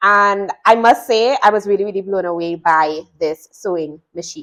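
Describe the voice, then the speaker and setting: A woman's moderately paced speech against a quiet background. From Trinidad. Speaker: sewing instructor. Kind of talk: product review tutorial. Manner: casual, chatty.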